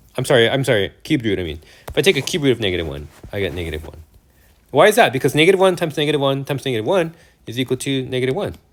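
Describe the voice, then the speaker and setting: Animated and very fast, a man talks at a medium pitch with vocal fry and very wide pitch swings. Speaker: math teacher. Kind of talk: lecture.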